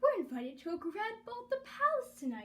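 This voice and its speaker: In a put-on character voice, a woman speaks at an extremely high pitch and a fairly quick pace, with very wide pitch swings and big swings in loudness. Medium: read story.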